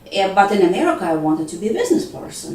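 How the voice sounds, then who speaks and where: With audible room echo and noticeable background noise, a woman speaks at a medium pitch. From Ukraine. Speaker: school language program coordinator. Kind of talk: interview.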